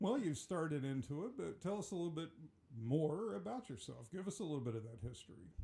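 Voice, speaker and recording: A man talks at a very fast pace with very wide pitch swings and a fairly high pitch. His tone is dark and mellow, somewhat breathy. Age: 60s. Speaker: podcast host. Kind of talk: interview. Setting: small studio.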